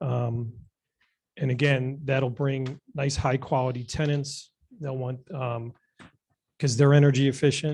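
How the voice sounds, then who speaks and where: A man talks fairly slowly at medium pitch, somewhat breathy. His intonation is monotone and flat, broken by long, frequent pauses. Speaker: development applicant witness. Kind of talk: formal presentation. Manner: halting. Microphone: too far from the mic.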